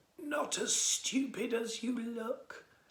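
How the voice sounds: This man's voice is squeaky and raspy, with an extremely high pitch and fairly even intonation.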